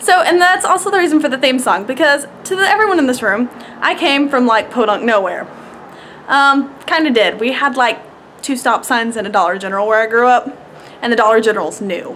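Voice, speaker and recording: With a Southern US accent, the speaker talks at a fairly quick pace with lively intonation against noticeable background noise. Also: woman. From US South, rural Georgia. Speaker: vlogger. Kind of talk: casual vlog monologue. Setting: outdoors.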